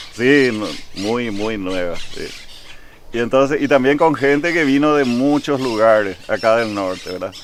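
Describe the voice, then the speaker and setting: With a plain, everyday voice, a man speaks at a fairly slow pace, medium in pitch, with ordinary pitch variation. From Paraguay, Asunción, raised from age 12 in Vallemí. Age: 60s. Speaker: local historian interviewee. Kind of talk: interview.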